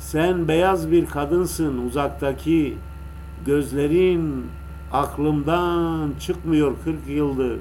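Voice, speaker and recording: Audible room echo surrounds a man talking at a very slow pace with very even loudness. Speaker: radio host. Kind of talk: poetry reading on radio. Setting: radio broadcast over internet. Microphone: echo on voice, low volume due to internet.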